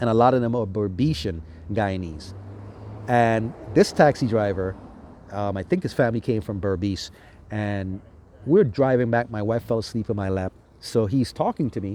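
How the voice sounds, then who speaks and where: A dark, mellow tone at a moderate pace, with ordinary pitch variation and long, frequent pauses. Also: man, fairly low pitch for a man. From US Virgin Islands (St. Thomas). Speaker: travel vlogger. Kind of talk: casual monologue travel review. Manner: relaxed, conversational with fillers.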